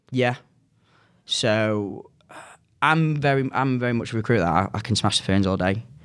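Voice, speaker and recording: A man's medium-pitched voice at a moderate pace, with long, frequent pauses, very even loudness, ordinary pitch variation, and a very clean recording with a silent background. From Manchester, northern England. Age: 20s. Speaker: recruiter. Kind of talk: casual chat.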